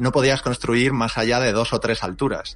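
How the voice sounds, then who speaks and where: At a fairly quick pace, a man speaks at a medium pitch in an unremarkable speaking voice. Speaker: YouTuber. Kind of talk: casual chat.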